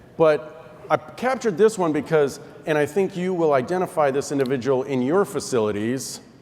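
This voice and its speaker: A man speaks in a fairly high voice with lively intonation over noticeable background noise. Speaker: air traffic controller, panel moderator. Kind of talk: panel discussion. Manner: fast; halting.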